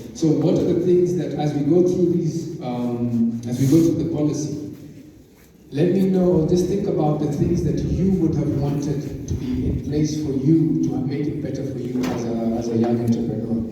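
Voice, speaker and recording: With noticeable background noise and audible room echo, a man speaks at a moderate pace in a fairly high voice with ordinary pitch variation. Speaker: youth discussion facilitator. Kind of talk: group discussion presentation.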